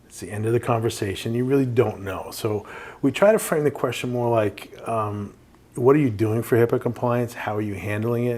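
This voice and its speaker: Using a medium pitch and fairly even intonation, a man with a New York accent talks at a fairly quick pace. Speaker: compliance company representative. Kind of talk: podcast interview.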